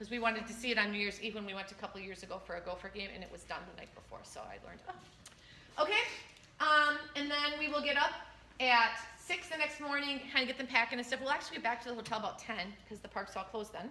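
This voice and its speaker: Talking at a very fast pace, a woman with a high-pitched voice uses lively intonation and big swings in loudness. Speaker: school choir director. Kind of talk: parent info meeting Q&A.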